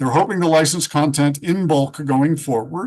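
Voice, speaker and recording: This man talks at a moderate pace with a normal speaking voice. His pitch sits fairly high. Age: 60s. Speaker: freelance writer and author. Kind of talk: panel discussion.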